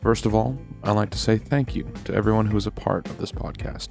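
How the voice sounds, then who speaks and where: A man speaks at a very fast pace while music plays in the background. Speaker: podcast host.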